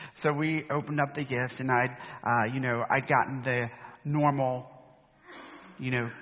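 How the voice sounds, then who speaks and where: Delivery is at a fairly slow pace. Intonation remains fairly even. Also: man. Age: 50s. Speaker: preacher. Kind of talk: sermon.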